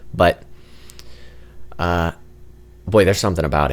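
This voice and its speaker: A man speaks quietly at a very deep, low pitch. His intonation stays fairly even. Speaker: gaming youtuber. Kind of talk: gameplay commentary.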